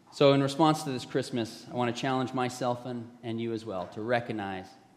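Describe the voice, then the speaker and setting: A man speaks at a medium pitch and fairly quick pace. Audible room echo surrounds his voice. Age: 50s. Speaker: pastor. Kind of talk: sermon.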